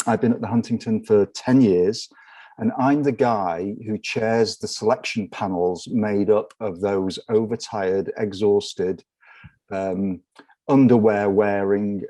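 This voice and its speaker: With an English accent, a man speaks at a fairly slow pace in a dark, mellow tone, with a fairly low pitch and fairly even intonation. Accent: English accent, noticeable. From northwest England, near Liverpool. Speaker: research library director. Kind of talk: conference panel talk.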